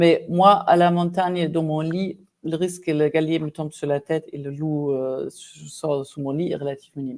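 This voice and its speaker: The voice carries a German accent. Its tone is dark and mellow. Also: woman. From Germany. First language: German (speaking French). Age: 50s. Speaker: executive coach. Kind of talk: interview conversation.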